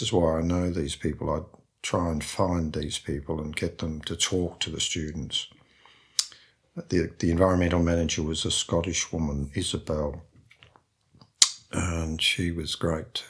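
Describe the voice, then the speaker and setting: A man's very deep, low voice with an Australian accent at a moderate pace. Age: 70s. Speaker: painter and printmaker. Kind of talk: interview conversation. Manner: hesitant, repeats words.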